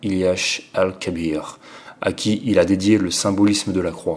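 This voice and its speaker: A fairly slow pace in a flat monotone. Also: man. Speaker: audiobook reader. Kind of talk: literary audiobook reading, measured and solemn. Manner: formal; slow, even, deliberate.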